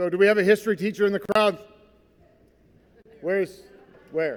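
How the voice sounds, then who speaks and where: This voice is loud. It moves along at a fairly quick pace. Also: man. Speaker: Navy veteran, keynote speaker. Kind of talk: speech to school assembly. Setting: school gymnasium with audience. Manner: animated.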